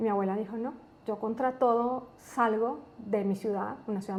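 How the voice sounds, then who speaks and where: Here a woman speaks with an Ecuadorian accent. Her pitch sits fairly high, with fairly even intonation. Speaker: pharmaceutical company country manager. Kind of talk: interview. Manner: halting.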